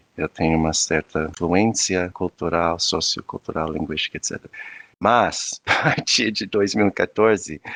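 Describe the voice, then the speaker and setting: A man with a very deep, low voice. He speaks at a fairly slow pace with ordinary pitch variation. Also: dry, close sound with no echo. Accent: non-native. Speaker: anthropologist and professor. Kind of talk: interview conversation. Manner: halting, many fillers and restarts.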